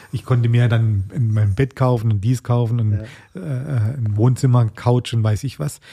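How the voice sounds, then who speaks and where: In a very clean recording over a silent background, a man speaks at a moderate pace with hardly any pauses, his medium-pitched voice somewhat breathy, dark and mellow, with fairly even intonation. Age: 40s. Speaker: chef. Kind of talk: interview.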